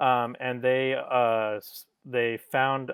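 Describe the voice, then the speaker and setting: The speaker is a man of medium pitch. His intonation stays fairly even. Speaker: educator. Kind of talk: lecture. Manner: halting.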